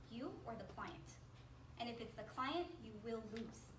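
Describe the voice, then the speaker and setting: A woman speaks with audible room echo. Noticeable background noise can be heard. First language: Spanish. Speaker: motivational speaker. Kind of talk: workshop talk to audience. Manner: animated, conversational.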